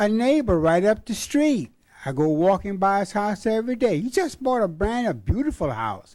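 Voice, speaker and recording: The man's pitch sits high. He speaks at a moderate pace. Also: lively intonation. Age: 70s. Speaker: retired resident speaking at public meeting. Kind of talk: public comment at hearing. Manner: animated.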